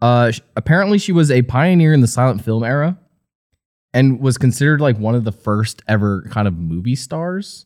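With an ordinary speaking voice, a man talks at a fairly quick pace in a medium pitch, his intonation lively. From New Jersey. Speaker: podcast co-host. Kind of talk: casual chat.

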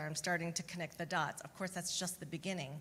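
In an American accent, a woman speaks in an unremarkable speaking voice with a fairly low pitch. Her intonation stays fairly even and her pace is fairly quick. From US Midwest, Chicagoland. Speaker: therapist. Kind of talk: Q&A panel answers.

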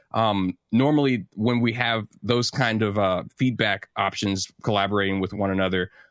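A man's a normal speaking voice with an American accent at a fairly low pitch, fairly even intonation, and a dry, close sound with no echo on a very clean recording with a silent background. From St. Louis, Missouri. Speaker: music producer and composer. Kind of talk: casual interview.

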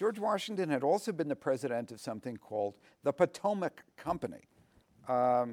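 With an American accent, a man speaks at a moderate pace in a fairly high voice. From New York. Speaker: author and historian. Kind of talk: interview. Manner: halting, many fillers and repetitions.

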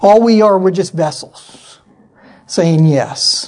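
Through noticeable background noise, a man speaks with ordinary pitch variation in an American accent. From US Pacific Northwest (Yakima, Washington). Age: 40s. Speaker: missionary and military veteran. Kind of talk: church talk / sermon. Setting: church with audience. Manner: animated.

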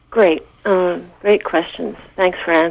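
A woman with an American accent speaks at a moderate pace with ordinary pitch variation against noticeable background noise. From US Pacific coast. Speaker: lake conservation program director. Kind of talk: radio interview. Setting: phone call. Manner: halting, many fillers.

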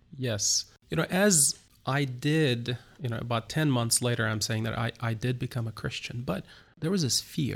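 A somewhat breathy man at medium pitch talks at a moderate pace with ordinary pitch variation, on a very clean recording with a silent background. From Turkey, Istanbul. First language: Turkish. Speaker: pastor. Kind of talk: interview. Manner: halting.

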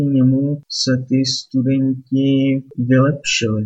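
A man speaks with medium pitch. His voice is somewhat breathy. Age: 30s. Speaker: podcaster and Czech language tutor. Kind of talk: solo monologue podcast. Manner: casual.

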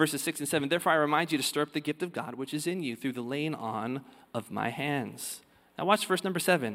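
Speech at a very fast pace with ordinary pitch variation, in a very clean recording with a silent background. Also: man. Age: 30s. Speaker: pastor. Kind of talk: sermon, expository preaching reading and unpacking scripture to a congregation. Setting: church service before live congregation, also streamed. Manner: earnest, building conversational preaching with rhetorical questions; halting, repeats words when starting sentences.

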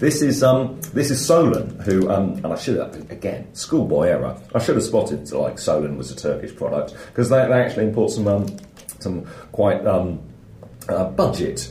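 A man with a British accent talks at a moderate pace over noticeable background noise. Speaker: podcast co-host. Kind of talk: casual chat. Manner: jokey.

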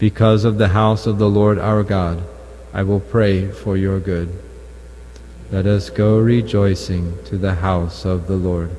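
Fairly low-pitched man at a fairly slow pace, with ordinary pitch variation and noticeable background noise. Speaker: lector at Mass. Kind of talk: scripture reading aloud. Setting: chapel.

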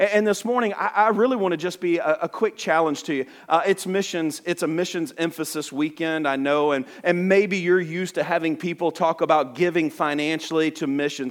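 The speaker talks at a fairly quick pace in a Southern US accent. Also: man, high pitch for a man, ordinary pitch variation. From US South, Alabama. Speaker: missionary. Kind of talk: sermon. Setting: church. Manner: fast talker.

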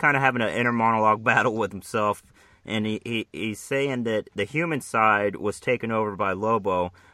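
Someone is reading aloud in a natural voice.

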